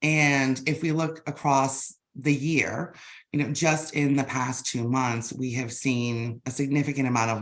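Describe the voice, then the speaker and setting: A woman with an American accent, very deep and low in pitch, at a moderate pace with ordinary pitch variation. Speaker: business intelligence executive. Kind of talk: webinar interview.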